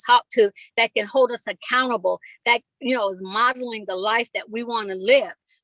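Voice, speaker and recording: A woman speaks in a high voice. Her tone is bright and sharp. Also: dry, close sound with no echo. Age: 60s. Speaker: motivational speaker. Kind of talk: live talk.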